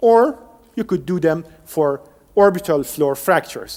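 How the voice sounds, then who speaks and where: At a moderate pace, a man with a high voice speaks with a Persian accent and ordinary pitch variation. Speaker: professor, engineer. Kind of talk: lecture. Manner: some self-corrections and restarts.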